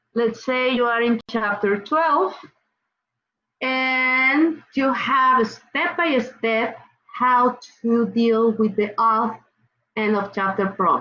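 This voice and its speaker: Very slowly and with long, frequent pauses, a woman with a Mexican accent speaks at a fairly high pitch with ordinary pitch variation. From Mexico. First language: Spanish. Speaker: college chemistry instructor. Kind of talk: online class lecture. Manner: casual, repetitive with fillers.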